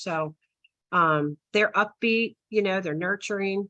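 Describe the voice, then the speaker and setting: A woman speaks at a medium pitch with ordinary pitch variation. The sound is dry and close with no echo, over a quiet background. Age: 60s. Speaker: retired asphalt sales professional. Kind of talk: webinar talk. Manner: hesitant, many fillers.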